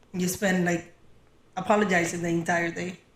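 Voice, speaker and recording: The woman's voice is somewhat breathy. She keeps a moderate pace. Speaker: podcast co-host, hotel front desk worker. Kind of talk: casual chat.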